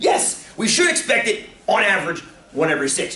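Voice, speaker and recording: A man speaks with audible echo from the room. Background noise is noticeable throughout. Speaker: teacher. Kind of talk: classroom lecture. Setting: classroom with students. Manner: animated.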